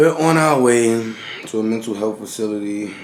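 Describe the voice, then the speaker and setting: A man at fairly low pitch and moderate pace, with audible room echo and noticeable background noise. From New York City. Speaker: vlogger. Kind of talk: casual chat.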